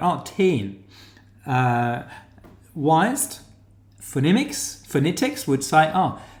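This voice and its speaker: With a strong New Zealand accent, a man speaks very slowly at a high pitch, with very wide pitch swings, long, frequent pauses and audible room echo. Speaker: academic teaching research methods. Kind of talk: online lecture tutorial. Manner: hesitant, many fillers.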